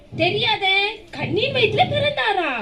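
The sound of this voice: At a moderate pace, a woman does a cartoonish character voice with an extremely high pitch, a fairly bright tone and lively intonation.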